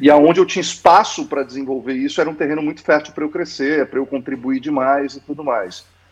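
Hardly pausing, a man rushes along at a very fast pace with a fairly high pitch and fairly even intonation. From Santos, São Paulo coast, Brazil. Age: 40s. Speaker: founder of a corporate learning lab, former executive. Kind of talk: casual interview.

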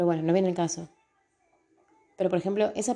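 Fairly even intonation from a woman with a fairly low pitch. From Argentina, Tucumán. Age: 30s. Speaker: podcaster. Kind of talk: personal monologue podcast. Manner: casual, with hesitations and repetitions.

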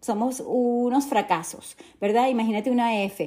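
A woman's high voice, dark and mellow in tone, with ordinary pitch variation, in a very clean recording with a silent background. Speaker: podcast host and holistic nutrition coach. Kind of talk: motivational monologue. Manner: halting.

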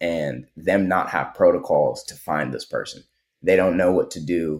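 A man speaks at a fairly slow pace. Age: 20s. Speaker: tech founder and activist. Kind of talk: casual interview conversation.

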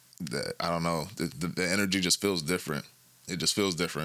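A man's very fast, vocal-fry-tinged voice with a bright, sharp tone, on a very clean recording with a silent background. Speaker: co-host / guest in conversation. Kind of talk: casual conversation.

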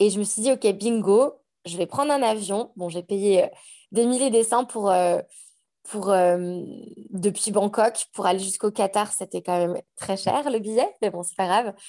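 Against a quiet background, a woman with a dark, mellow tone speaks at a fairly slow pace and medium pitch, with ordinary pitch variation and big swings in loudness. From France, Savoie (Annecy). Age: 30s. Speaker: podcaster. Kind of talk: casual chat.

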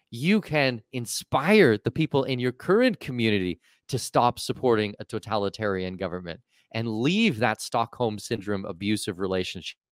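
In a very clean recording with a silent background and a dry, close sound with no echo, a man with a fairly low pitch and a plain, everyday voice speaks with lively intonation. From Canada. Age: 40s. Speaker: expat and offshore tax consultant. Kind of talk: casual interview chat.

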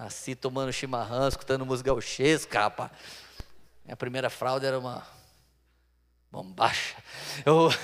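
A man at medium pitch, moderate pace, with long, frequent pauses. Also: fairly even intonation. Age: 40s. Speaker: pastor. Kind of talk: sermon.

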